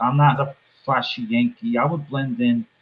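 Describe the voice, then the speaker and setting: A man talks in an ordinary speaking voice, pitched fairly high. His intonation is lively. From New England, within an hour of Boston. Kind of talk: casual, conversational.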